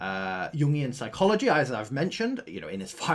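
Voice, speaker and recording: On a very clean recording with a silent background, a man with an American accent speaks with very wide pitch swings. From mixed: Glasgow, Scotland; Houston, Texas; English boarding school. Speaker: YouTuber on religion. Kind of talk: casual Q&A to camera. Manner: hesitant, many fillers.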